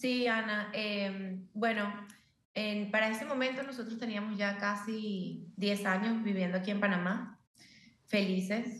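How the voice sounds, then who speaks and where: A woman's medium-pitched, monotone, flat delivery at a fairly slow pace. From Venezuela. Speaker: journalist, burn survivor. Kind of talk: testimony.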